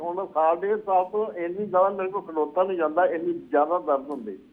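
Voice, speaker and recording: The speaker is a man with a high pitch. His pitch moves with ordinary variation. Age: 70s. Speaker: caller. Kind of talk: phone-in question. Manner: halting.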